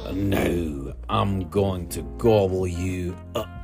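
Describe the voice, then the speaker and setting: A man performs a put-on character voice at a very deep, low pitch and a very slow pace. Loud music plays in the background. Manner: roaring, menacing.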